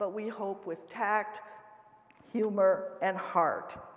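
Over noticeable background noise, a woman with an American accent speaks at a fairly slow pace in a medium pitch. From US Midwest, South Dakota. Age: 70s. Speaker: professor. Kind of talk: lecture. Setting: stage with audience. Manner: animated; humorous.

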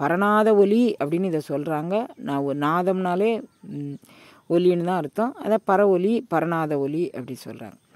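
Over a quiet background, a man speaks in a high voice with ordinary pitch variation, the sound dry with no echo. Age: 70s. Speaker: spiritual teacher. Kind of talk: religious discourse. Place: open country.

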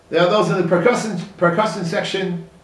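With audible room echo, a man talks at a fairly quick pace. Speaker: religious teacher. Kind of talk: sermon. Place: office.

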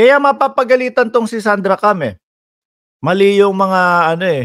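The man's speech moves at a moderate pace, sounding dry with no echo, and the background stays quiet. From Philippines. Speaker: news commentator and live streamer. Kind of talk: live-stream political commentary, reacting to news clips, with an angry rant near 12:07. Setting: live stream to online viewers. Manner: indignant, sarcastic, scoffing, with an incredulous tone and bursts of laughter. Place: home room. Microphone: earbuds.

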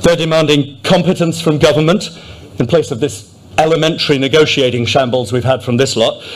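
With a Yorkshire accent, a man speaks at a fairly high pitch with lively intonation. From Yorkshire, England. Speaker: businessman and candidate. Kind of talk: political rally speech. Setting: stage with audience. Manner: slightly halting, repeats words. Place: hall. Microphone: podium.

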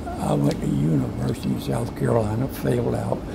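A man's voice amid loud background noise. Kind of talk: interview answer.

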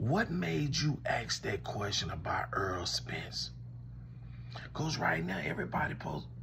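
With an American accent, a man talks in an animated tone at a fairly slow pace over noticeable background noise. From Louisiana. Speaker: commentator. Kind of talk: comedic one-sided call skit. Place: home room. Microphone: phone near.

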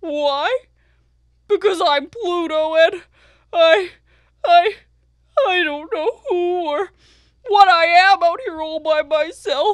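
A cartoonish character voice at an extremely high pitch, very slow with long, frequent pauses. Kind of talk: children's educational show character. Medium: puppet show. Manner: mopey, self-pitying, wistful.

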